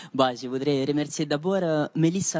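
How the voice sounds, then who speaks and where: A man is talking at a moderate pace. His pitch variation is ordinary. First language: not French (speaking French). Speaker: PhD student, contest winner. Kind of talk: post-win interview. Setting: live TV studio. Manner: halting, many fillers.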